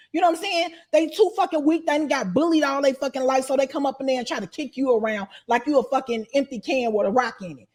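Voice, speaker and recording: A woman's animated tone, fairly quick pace and lively intonation. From Chicago. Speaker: interviewee, former inmate and YouTuber. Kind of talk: casual interview.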